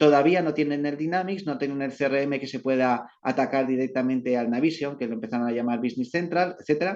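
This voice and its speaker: A man talks at a very fast pace. His fairly high voice has ordinary pitch variation. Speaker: company representative presenting at business webinar. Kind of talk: presentation.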